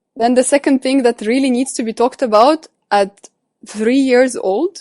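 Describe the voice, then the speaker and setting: Recorded with a dry, close sound and no echo, a woman speaks in a Russian accent with ordinary pitch variation. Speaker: coach and psychology student. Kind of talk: interview.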